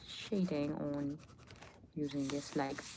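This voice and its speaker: A woman's relaxed tone at a fairly slow pace, with noticeable background noise. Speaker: spiritual lifestyle content creator. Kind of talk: casual livestream chat while drawing. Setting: live stream. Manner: relaxed, hesitant with many fillers.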